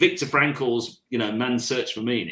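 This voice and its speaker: A man with a Birmingham accent talks at a fairly slow pace, his medium-pitched voice bright and sharp in tone. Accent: Birmingham (Brummie) English. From England, Birmingham. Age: 60s. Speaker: career coach. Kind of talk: casual chat. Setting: live online session.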